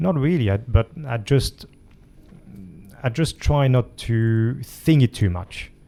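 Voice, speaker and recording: With a dark, mellow tone, a man at medium pitch speaks very slowly, using ordinary pitch variation and long, frequent pauses. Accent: French. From France. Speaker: jiu-jitsu coach and author. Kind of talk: interview conversation. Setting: gym. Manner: halting.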